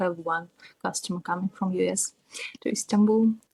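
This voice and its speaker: Her medium-pitched voice stays monotone and flat, and the sound is dry and close with no echo, so the speaker is clearly a woman. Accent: Russian. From Russia. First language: Russian. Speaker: tattoo artist. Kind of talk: interview.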